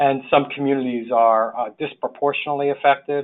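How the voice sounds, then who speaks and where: A man talks in a New York accent. His pace is fairly quick and his intonation fairly even. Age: 60s. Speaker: social worker, public health official. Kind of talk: webinar presentation. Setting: webinar. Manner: halting, many fillers.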